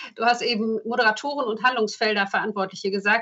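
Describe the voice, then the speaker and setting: A woman is heard at a fairly high pitch. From Emsland, northern Germany. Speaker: local party spokesperson and radiologist. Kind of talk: casual interview.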